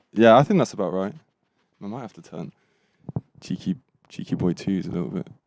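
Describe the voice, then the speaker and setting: In a British accent, the speaker goes at a fairly quick pace with very wide pitch swings, big swings in loudness and long, frequent pauses. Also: man, fairly low pitch for a man. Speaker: podcast host. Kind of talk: casual chat. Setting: caravan.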